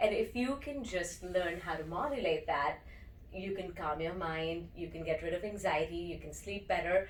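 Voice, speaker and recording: Noticeable background noise behind a woman at a fairly low pitch, with ordinary pitch variation and a moderate pace. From India. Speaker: breathwork and meditation teacher. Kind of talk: interview.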